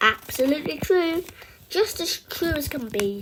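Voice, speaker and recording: A woman puts on a character voice, pitched high and swinging very widely up and down. She keeps a moderate pace. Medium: read story. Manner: emphatic.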